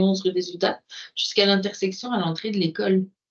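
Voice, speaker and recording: A woman at medium pitch with a Quebec accent, at a very fast pace. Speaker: city councillor. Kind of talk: municipal meeting discussion.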